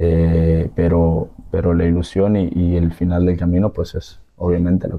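A man talks at a fairly slow pace in a very deep, low voice with monotone, flat intonation. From Sinaloa, Mexico. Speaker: professional footballer; guest. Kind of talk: interview. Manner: halting. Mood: calm, hopeful. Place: studio.

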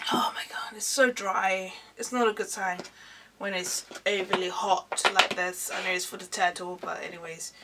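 The woman here speaks at a fairly slow pace. Noticeable background noise runs underneath. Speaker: YouTuber doing music video reactions. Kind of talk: casual reaction video monologue. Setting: at home in front of camera. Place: home room. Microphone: webcam.

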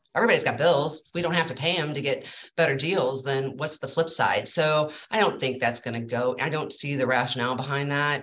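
Over light background noise, a woman with a very deep, low pitch talks at a fairly quick pace, with ordinary pitch variation and hardly any pauses. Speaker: bank employee. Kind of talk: casual online networking meeting. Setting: video call. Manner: hesitant, frequent fillers. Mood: mildly indignant opinion. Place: office. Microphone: video call.

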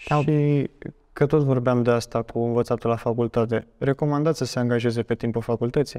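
A man at a fairly quick pace with fairly even intonation over a quiet background. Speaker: student podcast host. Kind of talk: interview. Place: studio. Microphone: lapel.

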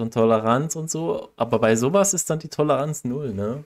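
This man has a normal speaking voice. His pitch is medium, with ordinary pitch variation. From Saxony, Germany. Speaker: podcast co-host. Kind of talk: casual chat.

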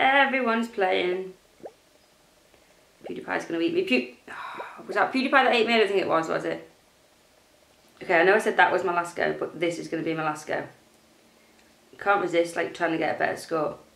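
In a room with audible echo, a woman speaks at a fairly quick pace, broken by long, frequent pauses. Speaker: gaming youtuber. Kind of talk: gameplay commentary. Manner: casual, chatty.

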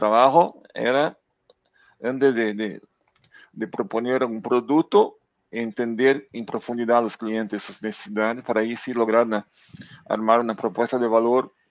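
A man with a Portuguese accent speaks at a fairly slow pace, leaving long, frequent pauses, his loudness swinging widely while his intonation stays fairly even. The sound is dry with no echo, and the background is quiet. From southern Brazil, near Uruguay border. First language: Portuguese (speaking Spanish). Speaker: data executive; guest. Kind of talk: interview conversation. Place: home room. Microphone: headset.

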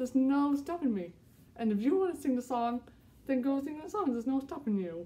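This woman talks at a fairly quick pace. Her pitch is high and her intonation lively. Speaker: podcast host. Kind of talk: casual vlog chat. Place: home room. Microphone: phone near.

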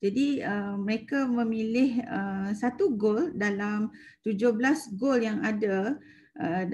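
Against light background noise, a woman talks in a somewhat breathy voice with a dark, mellow tone and ordinary pitch variation. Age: 40s. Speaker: secondary school maths teacher. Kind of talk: webinar presentation. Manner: halting, many fillers. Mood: warm, enthusiastic. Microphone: video call.

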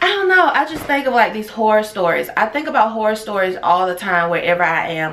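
You can hear a woman's voice. It moves with lively intonation. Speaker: travel vlogger. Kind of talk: casual vlog chat. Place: home room. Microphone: phone near.

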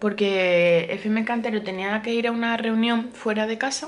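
At a moderate pace, a woman with a Spanish accent talks in an animated tone at a fairly high pitch. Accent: Peninsular Spanish. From Spain. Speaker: vlogger. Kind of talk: casual vlog talk to camera. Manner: chatty, animated. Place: home room. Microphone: phone near.

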